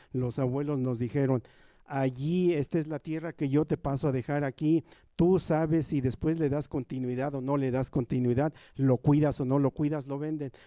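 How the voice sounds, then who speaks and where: Dark, mellow tone with a Mexican accent, delivered at a moderate pace. The sound is dry and close with no echo, and the intonation stays fairly even. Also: man. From rural Nahua community in Mexico. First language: Nahuatl (speaking Spanish). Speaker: Nahuatl speaker on a university panel. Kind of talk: panel talk. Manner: repetitive, emphatic.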